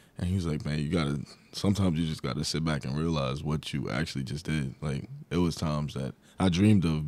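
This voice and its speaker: A man with a New York accent talks very fast at a very deep, low pitch, with fairly even intonation and a dry sound with no echo. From Long Island, New York. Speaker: college basketball player; guest. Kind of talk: casual interview. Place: studio. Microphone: studio mic.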